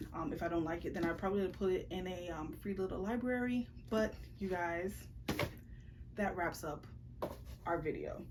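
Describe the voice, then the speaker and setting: A woman talks at a fairly quick pace with ordinary pitch variation. She leaves long, frequent pauses, and audible room echo is present. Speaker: book vlogger. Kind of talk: casual vlog chat. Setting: bedroom. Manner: fast.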